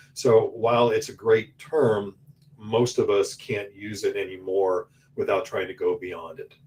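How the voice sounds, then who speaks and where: A man talks at a fairly slow pace. His loudness swings widely. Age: 60s. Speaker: orthodontist. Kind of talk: webinar presentation.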